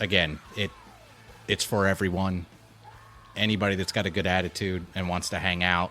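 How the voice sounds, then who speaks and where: Music plays in the background. A man speaks in a very deep, low pitch with monotone, flat intonation. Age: 40s. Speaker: amateur baseball club founder. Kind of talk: casual chat.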